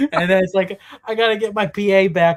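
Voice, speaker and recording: A man talks at a moderate pace. He has an American accent. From US, Pittsburgh, Pennsylvania. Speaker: theme park content creator. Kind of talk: livestream casual chat. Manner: animated.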